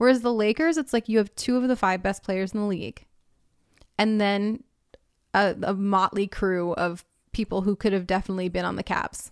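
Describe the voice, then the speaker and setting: Here is a normal speaking voice from a woman with an American accent, medium in pitch with ordinary pitch variation and a fairly quick pace. The recording is very clean, dry and close, with no echo and a silent background. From Minneapolis, US Midwest. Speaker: sports podcast host. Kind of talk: casual chat about basketball.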